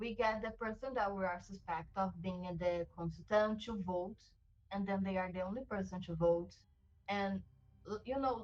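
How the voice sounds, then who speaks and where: With a non-native accent, a woman speaks at medium pitch and a moderate pace. Her pitch varies in an ordinary way. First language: not English. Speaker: online game player. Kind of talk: casual chat.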